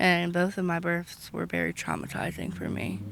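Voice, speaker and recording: Moderate pace and a normal speaking voice. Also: woman. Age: 20s. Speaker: interviewee on street. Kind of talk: personal testimony.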